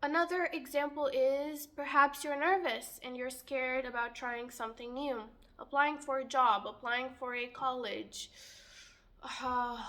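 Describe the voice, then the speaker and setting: A woman projects a raised, high-pitched voice with a bright, sharp tone. She talks fairly slowly with fairly even intonation. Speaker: youtuber. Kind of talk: monologue to camera.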